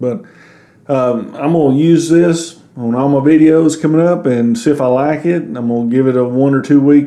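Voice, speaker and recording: A man with a Southern US accent talks against noticeable background noise. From US South. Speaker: YouTuber reviewing gear. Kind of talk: product review.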